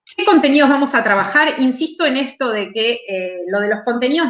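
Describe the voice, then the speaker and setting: A woman talks with lively intonation. Noticeable noise sits in the background. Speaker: math education specialist, teacher trainer. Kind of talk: lecture, online teacher training talk. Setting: live stream presentation. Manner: fast.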